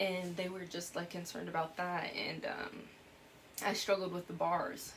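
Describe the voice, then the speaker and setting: Room echo is audible as a woman speaks in a fairly low pitch with monotone, flat intonation. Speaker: YouTuber. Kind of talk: personal vlog. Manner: fast.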